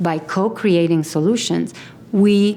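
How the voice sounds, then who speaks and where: Noticeable background noise surrounds a woman with a Romanian accent. Her fairly low pitch carries fairly even intonation at a fairly slow pace. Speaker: mayoral candidate. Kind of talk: campaign video interview.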